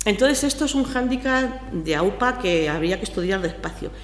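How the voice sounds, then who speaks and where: A woman speaks with lively intonation at a fairly high pitch. Noticeable background noise and audible room echo surround her voice. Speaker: public procurement officer. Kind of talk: conference panel commentary. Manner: fast.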